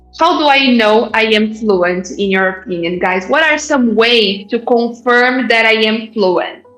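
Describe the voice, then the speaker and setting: Over music in the background, a woman with a Brazilian accent speaks at a fairly slow pace and fairly high pitch, with ordinary pitch variation and hardly any pauses. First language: Portuguese. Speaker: English teacher. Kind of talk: live online class. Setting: live online event. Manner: deliberate, with fillers.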